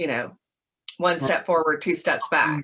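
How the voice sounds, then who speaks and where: Her tone is bright and sharp, with a fairly low pitch. This woman speaks in a Georgia accent. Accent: Southern American (Georgia). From Augusta, Georgia. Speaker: museum educator, presidential library education specialist. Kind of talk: interview answer.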